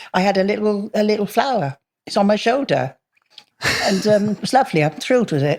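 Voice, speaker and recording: Here is a woman with a normal speaking voice at a medium pitch. She talks at a fairly quick pace with lively intonation. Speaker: distant relative. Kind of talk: interview.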